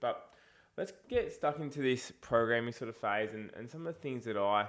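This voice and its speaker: A man with an Australian accent at a moderate pace, ordinary pitch variation and big swings in loudness. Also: medium pitch for a man. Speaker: fitness coach. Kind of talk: casual vlog talk. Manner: casual, chatty.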